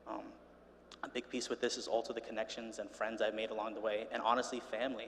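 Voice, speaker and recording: The talking goes at a very fast pace with noticeable background noise. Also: man. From Rhode Island, US. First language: Spanish. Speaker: student speaker. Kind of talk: welcome speech at university event. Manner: casual, filler-heavy. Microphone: echo.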